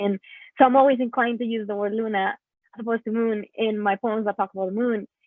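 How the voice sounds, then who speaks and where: Talking at a very fast pace with a Spanish accent, a woman keeps a fairly high pitch and a monotone, flat intonation. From Mexico. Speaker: poet. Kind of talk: panel discussion. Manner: halting, many fillers.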